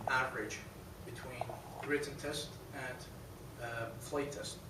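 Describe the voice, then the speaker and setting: A man speaks at medium pitch and a moderate pace in a monotone, flat way. Audible room echo and noticeable background noise are present. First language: not English. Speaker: pilot examiner. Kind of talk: award presentation speech. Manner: halting.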